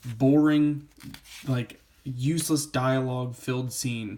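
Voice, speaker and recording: Fairly slow pace from a man with a medium pitch and fairly even intonation. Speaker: comic book reviewer. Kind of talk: casual review monologue.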